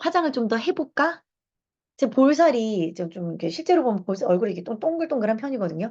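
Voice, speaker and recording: Animated and fairly quick, a woman speaks in a fairly high voice with very wide pitch swings. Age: 40s. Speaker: lecturer and reading club leader. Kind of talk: lecture. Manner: conversational, animated.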